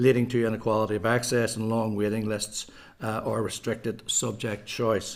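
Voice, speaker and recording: Man with a Belfast accent, medium pitch, flat monotone delivery, moderate pace, very clean recording with a silent background. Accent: Belfast Northern Irish. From west Belfast, Northern Ireland. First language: Irish. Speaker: primary school principal giving evidence. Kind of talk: prepared committee briefing.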